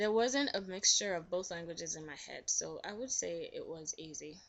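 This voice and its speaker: A woman speaks with a Nigerian accent. Her pitch varies in an ordinary way. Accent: Nigerian (Yoruba) English. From Nigeria, southwest (Ibadan). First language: Yoruba (alongside English). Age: 20s. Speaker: interviewee. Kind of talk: interview.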